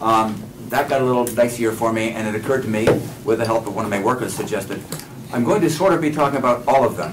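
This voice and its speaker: A man talks very fast, with audible room echo and noticeable background noise around him. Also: medium pitch for a man, ordinary pitch variation. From Maine. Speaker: subsistence farmer and seed saver. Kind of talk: workshop lecture. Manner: casual, with frequent fillers and self-corrections.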